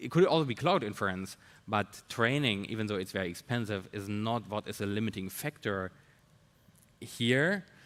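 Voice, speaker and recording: Speaking with a non-native accent, a man keeps a moderate pace, a fairly low pitch and ordinary pitch variation. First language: not English. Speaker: tech researcher or founder. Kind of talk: panel discussion. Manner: halting, many fillers.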